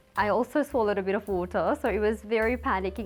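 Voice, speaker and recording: Music plays behind a woman who speaks very fast. Her intonation stays fairly even. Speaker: beauty pageant contestant. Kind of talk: interview testimony.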